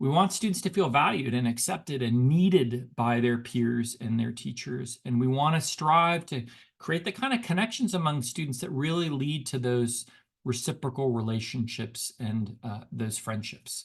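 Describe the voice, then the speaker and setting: This man has a somewhat breathy voice at a medium pitch, and his intonation is lively. He talks at a moderate pace against a quiet background. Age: 50s. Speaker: education researcher and speaker, former high school teacher. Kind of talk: webinar lecture. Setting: online webinar. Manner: conversational with frequent fillers and repetitions.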